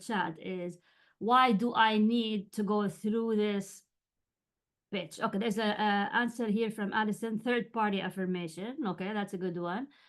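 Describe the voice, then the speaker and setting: The woman has a Jordanian accent and a fairly high voice. She talks at a fairly slow pace with ordinary pitch variation. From Jordan (Amman). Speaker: writing coach and journalist. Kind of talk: webinar lecture. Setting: video call webinar. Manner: halting, many fillers.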